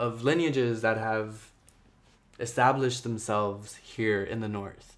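Speaking in an American accent at a fairly slow pace, the voice keeps fairly even intonation, with audible room echo around it. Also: man. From Jersey City, New Jersey (US), Ecuadorian-Guatemalan family. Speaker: visual artist and podcast host. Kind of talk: solo personal monologue.

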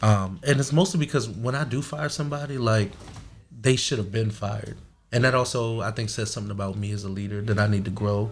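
A man with an American accent talks at a fairly quick pace. His fairly low voice is somewhat breathy, with ordinary pitch variation. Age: 30s. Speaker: security company owner. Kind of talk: casual interview. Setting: studio. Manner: halting.

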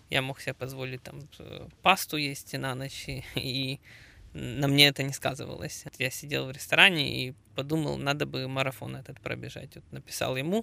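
This man talks at a moderate pace. His volume rises and falls in big swings. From Ukraine. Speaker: amateur marathon runner and triathlete. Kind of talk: casual interview. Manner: halting, many filler sounds.

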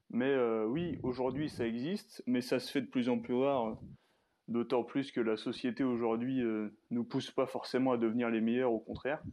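The man has a normal speaking voice at a medium pitch. He keeps a moderate pace and fairly even intonation. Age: 20s. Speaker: social media personal development creator. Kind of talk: casual interview.

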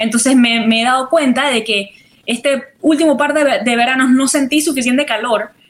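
A woman speaks with a high pitch. Noticeable noise sits in the background. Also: fairly even intonation, moderate pace. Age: young. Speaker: artist. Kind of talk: interview. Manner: halting.

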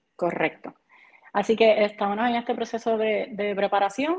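In a Puerto Rican accent, a woman speaks at a moderate pace. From Puerto Rico, Barranquitas. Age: 30s. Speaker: CrossFit athlete and coach. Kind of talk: casual interview.

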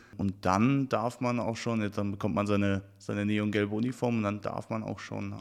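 On a very clean recording with a silent background, a man speaks in a normal speaking voice at a fairly low pitch, with fairly even intonation and hardly any pauses. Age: 20s. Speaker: youth volunteer leader in traffic safety. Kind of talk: podcast interview.

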